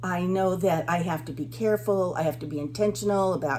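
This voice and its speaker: Noticeable background noise sits behind this woman's voice. Her pitch is very deep and low, with ordinary variation and a moderate pace. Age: 70s. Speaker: vlogger. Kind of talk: casual monologue vlog. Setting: at the beach. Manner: halting.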